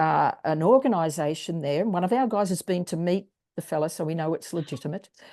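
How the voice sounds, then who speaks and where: A woman talks very fast in an Australian accent, her fairly low voice dark and mellow. Her pitch varies in an ordinary way against a quiet background. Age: 70s. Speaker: wellness strategist and singer. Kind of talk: interview.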